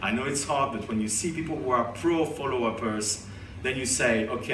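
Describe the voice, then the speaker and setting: With music in the background and audible room echo, a man with a French accent speaks with ordinary pitch variation. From France. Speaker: conference organizer and speaker. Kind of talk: conference talk. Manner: animated.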